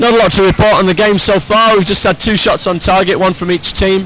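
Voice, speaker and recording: A man with a Teesside accent speaks at a high pitch and a fairly quick pace. Noticeable background noise sits behind him. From northeast England, Middlesbrough. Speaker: sports commentator. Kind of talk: live commentary.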